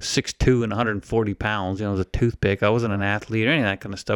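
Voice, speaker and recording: Recorded very cleanly against a silent background, a man with an unremarkable speaking voice and medium pitch talks at a fairly quick pace, the sound dry and close with no echo. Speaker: podcast co-host, veteran. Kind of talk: casual chat.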